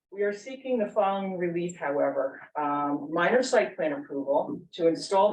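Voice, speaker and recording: Lively intonation marks a woman's speech. She talks at a moderate pace and a fairly low pitch. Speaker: attorney presenting an application. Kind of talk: formal presentation at public hearing. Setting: township board meeting room, ceiling mics.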